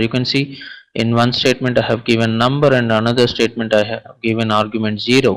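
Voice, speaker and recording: With monotone, flat intonation, the man talks at a moderate pace and a medium pitch. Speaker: programming instructor. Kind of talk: lecture.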